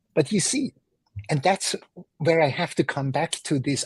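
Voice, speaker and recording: At a moderate pace, a man with an ordinary speaking voice talks with lively intonation at a fairly high pitch. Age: 50s. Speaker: entrepreneur and mentor. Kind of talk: podcast interview.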